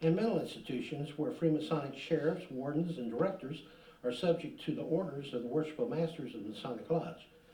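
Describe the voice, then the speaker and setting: Noticeable background noise and audible room echo fill the clip. A man speaks very fast at a fairly high pitch. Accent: American. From southern Illinois. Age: 60s. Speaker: public commenter at council meeting. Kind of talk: public comment speech. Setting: city council meeting. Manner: hurried.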